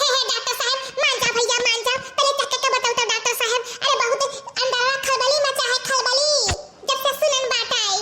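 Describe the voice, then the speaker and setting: Over light background noise, a woman does a cartoonish character voice at an extremely high pitch, fairly quick and monotone, with flat intonation and very even loudness. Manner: loud, dramatic, rustic.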